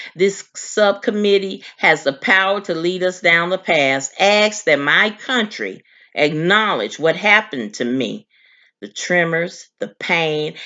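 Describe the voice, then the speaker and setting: With vocal fry and an American accent, the speaker goes at a fairly slow pace, the pitch swinging very widely. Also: woman. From Oklahoma, US South. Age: 80s+. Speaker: massacre survivor. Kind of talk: testimony. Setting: senate hearing.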